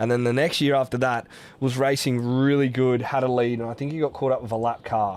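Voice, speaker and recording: With an Australian accent, a man speaks at a medium pitch and a fairly quick pace in monotone, flat intonation on a very clean recording with a silent background. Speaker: podcast host. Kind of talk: podcast interview.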